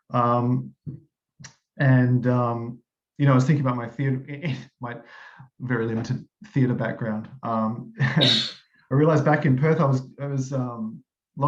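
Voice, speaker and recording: A man with an Australian accent talks at a moderate pace and medium pitch, somewhat breathy, with fairly even intonation. His loudness swings widely, and he takes long, frequent pauses. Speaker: engineer. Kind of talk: meeting introduction. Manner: halting, many fillers.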